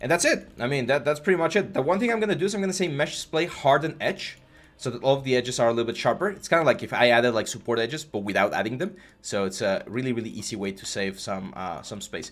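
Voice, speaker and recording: A man with a slight Mexican accent speaks at a very fast pace with very wide pitch swings on a very clean recording with a silent background. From Mexico. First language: Spanish. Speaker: 3D art instructor. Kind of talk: live stream tutorial with chat Q&A. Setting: live stream. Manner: casual, hesitant with fillers.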